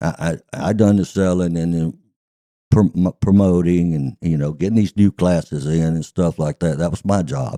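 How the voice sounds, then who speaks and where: A man's very deep, low, dark and mellow voice at a moderate pace, with ordinary pitch variation and a dry, close sound with no echo. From US South. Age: 70s. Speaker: retired racetrack manager. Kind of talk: casual interview chat.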